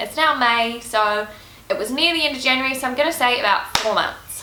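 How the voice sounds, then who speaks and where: A woman with a New Zealand accent speaks at a moderate pace in a raised, projected voice. Her pitch is high and her intonation lively, with noticeable background noise. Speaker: Uber driver. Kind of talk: casual Q&A talk to camera.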